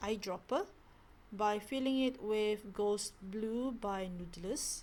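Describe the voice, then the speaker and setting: Relaxed in tone and with a Malaysian accent, a woman speaks very slowly at a fairly high pitch with ordinary pitch variation. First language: not English. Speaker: stationery hobbyist vlogger. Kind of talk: casual product talk.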